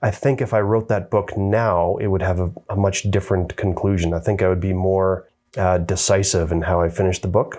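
Talking at a moderate pace with hardly any pauses, a man has a very deep, low pitch and a dark, mellow tone. His intonation stays fairly even, with a Canadian accent. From Canada. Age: 50s. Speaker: author and adventure motorcyclist. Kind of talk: casual chat. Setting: on location in Canmore.

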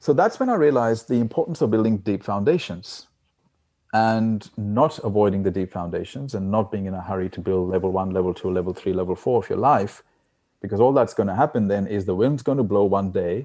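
Over a quiet background, a man speaks at a fairly quick pace in a dark, mellow tone with ordinary pitch variation. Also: fairly low pitch for a man. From India, raised partly in Australia. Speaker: financial advisor and success coach. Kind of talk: interview. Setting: call.

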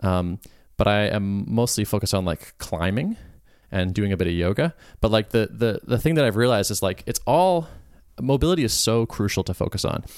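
Using a plain, everyday voice, a man talks at a fairly quick pace. His fairly low voice has lively intonation. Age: 30s. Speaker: podcast guest, software developer. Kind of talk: casual chat.

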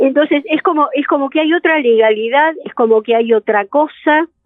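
A woman speaks with lively intonation. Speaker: psychologist and therapist. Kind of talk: interview conversation.

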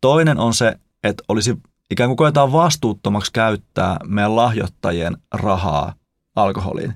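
A man speaks with a fairly low pitch at a fairly slow pace. He has a normal speaking voice. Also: lively intonation. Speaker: podcast co-host and pastor. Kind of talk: casual chat.

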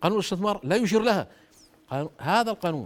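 A man with a Jordanian accent and an animated tone. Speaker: former government minister and economist. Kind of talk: political interview.

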